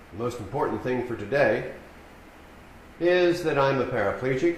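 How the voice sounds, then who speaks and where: A man with an American accent speaks at a medium pitch, with audible room echo and noticeable background noise. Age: 70s. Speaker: keynote speaker, paraplegic rehabilitation advocate. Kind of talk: keynote speech. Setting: conference stage with audience. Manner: formal.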